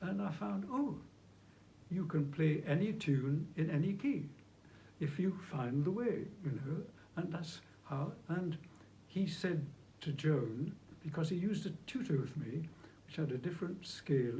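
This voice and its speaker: Audible room echo surrounds a man whose fairly high pitch, dark and mellow tone and lively intonation come at a moderate pace broken by long, frequent pauses. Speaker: flautist and movement technique teacher. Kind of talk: interview conversation.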